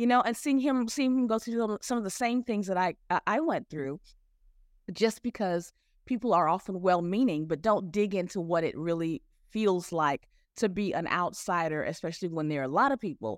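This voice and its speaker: A woman talks in a normal speaking voice with an American accent, at a medium pitch and a moderate pace. The recording is very clean, with a silent background. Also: lively intonation. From Houston, Texas. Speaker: author and educator. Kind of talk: interview.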